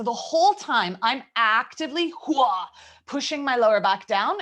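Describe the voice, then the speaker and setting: A woman's put-on character voice, strained and high-pitched, at a moderate pace with very wide pitch swings. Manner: strained, working hard.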